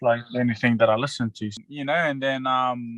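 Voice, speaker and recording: A man speaks with a slight Australian accent. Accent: Australian tinge. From New Zealand, West Auckland. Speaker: professional rugby league player. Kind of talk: casual interview. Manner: halting, many fillers.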